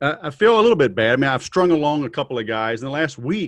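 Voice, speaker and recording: Someone with a Southern US accent speaks at a fairly quick pace. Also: man. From US South. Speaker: podcast host. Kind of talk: casual interview. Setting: video call.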